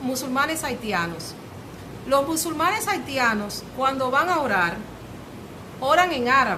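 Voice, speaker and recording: In a Dominican accent, a woman with a high voice projects loudly at a fairly slow pace, with audible room echo and noticeable background noise. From Dominican Republic, Santo Domingo. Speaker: lecturer on languages. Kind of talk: public talk to a cultural group. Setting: cultural center with audience. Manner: hesitant, many fillers.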